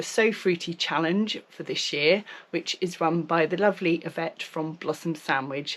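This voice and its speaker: Someone with a British accent speaks at a fairly slow pace with ordinary pitch variation. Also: woman. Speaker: sewing vlogger. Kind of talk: casual vlog chat.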